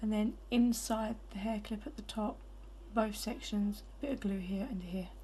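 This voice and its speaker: Amid noticeable background noise, a woman speaks fairly slowly, leaving long, frequent pauses. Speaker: hairbow crafter. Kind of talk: craft tutorial.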